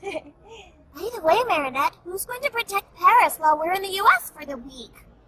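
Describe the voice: An extremely high-pitched, cartoonish character voice. It moves at a moderate pace.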